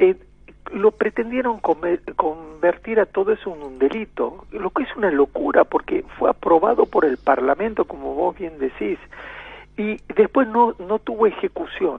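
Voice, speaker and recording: At a fairly slow pace, a man speaks in a high voice with very wide pitch swings. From Argentina, Santiago del Estero (La Banda). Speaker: ambassador. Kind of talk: radio interview.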